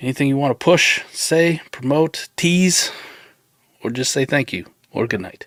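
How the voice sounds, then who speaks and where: A man speaks fairly slowly in an ordinary speaking voice. His intonation is lively. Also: fairly high pitch for a man. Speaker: fantasy football show host. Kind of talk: live stream chat.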